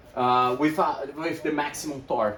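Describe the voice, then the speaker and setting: Fairly slow speech from a man, noticeable background noise throughout. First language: not English. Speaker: e-bike shop owner and video host. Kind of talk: tutorial. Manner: animated.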